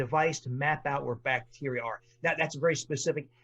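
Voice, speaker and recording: Somewhat breathy, a man speaks at a fairly quick pace. His pitch shows ordinary variation. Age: 60s. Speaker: physician and author. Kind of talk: podcast interview. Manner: animated.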